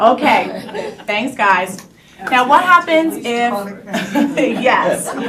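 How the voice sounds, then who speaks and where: An American accent with ordinary pitch variation, audible room echo and noticeable background noise. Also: woman. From New York. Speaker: entrepreneur pitching business. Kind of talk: sales pitch. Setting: room with live audience, no microphone. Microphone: speaking without microphone.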